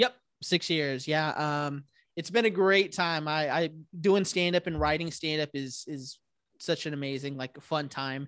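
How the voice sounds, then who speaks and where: Fairly slow speech from a man with a plain, everyday voice, fairly high pitch and ordinary pitch variation, against a quiet background. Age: 30s. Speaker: stand-up comedian and podcast host. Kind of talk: casual chat.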